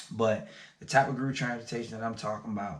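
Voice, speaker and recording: A man is speaking at a medium pitch. His pitch varies in an ordinary way. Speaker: small business owner, vlogger. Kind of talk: casual vlog talk to camera. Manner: fast.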